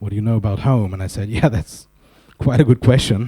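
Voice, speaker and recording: A man with a fairly low pitch, a dark, mellow tone and a somewhat breathy quality, at a moderate pace with ordinary pitch variation. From Germany. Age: 40s. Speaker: conference speaker. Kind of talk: conference talk.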